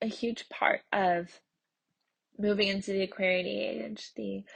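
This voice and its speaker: A woman's somewhat breathy voice moves along at a very slow pace. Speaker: podcast host. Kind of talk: solo podcast monologue.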